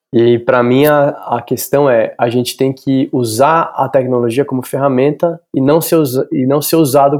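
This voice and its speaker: Fairly even intonation and a medium pitch from a man speaking at a moderate pace. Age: 40s. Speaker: actor and art teacher. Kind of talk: interview. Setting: remote call from home. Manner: halting, many fillers.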